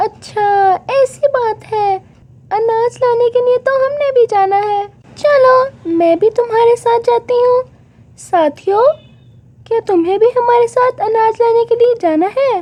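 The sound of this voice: A woman does a cartoonish character voice at an extremely high pitch, speaking fairly slowly.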